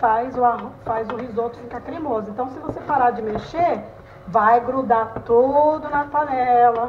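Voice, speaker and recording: With light background noise, a woman speaks at a fairly slow pace in a high pitch and fairly even intonation. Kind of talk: cooking tutorial chat. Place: kitchen. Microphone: phone near.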